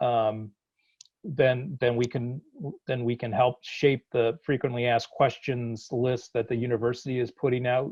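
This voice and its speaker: A man keeps to a middle pitch and a moderate speed, his intonation flat and monotone. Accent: slight Boston. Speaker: college dean. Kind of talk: virtual town hall. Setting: video call. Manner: halting, many repetitions and fillers.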